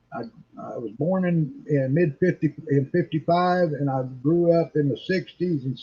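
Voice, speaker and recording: A man's somewhat breathy, dark, mellow voice with ordinary pitch variation. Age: 60s. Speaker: internet talk show host. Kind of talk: casual chat.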